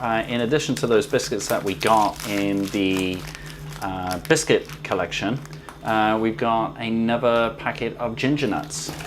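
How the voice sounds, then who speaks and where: Someone with a British accent talks at a fairly slow pace over noticeable background noise. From UK. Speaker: food YouTuber. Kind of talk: unboxing video. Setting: kitchen.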